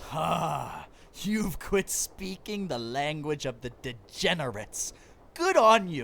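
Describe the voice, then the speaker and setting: Over clear background noise, a put-on character voice at a middle pitch goes along at a fairly slow pace. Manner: pompous, theatrical.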